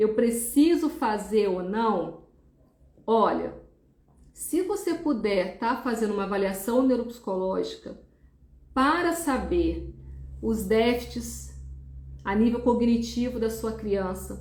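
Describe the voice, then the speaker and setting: Audible room echo surrounds a woman who talks very slowly with long, frequent pauses, her fairly high voice carrying lively intonation. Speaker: neuropsychologist. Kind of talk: live stream talk.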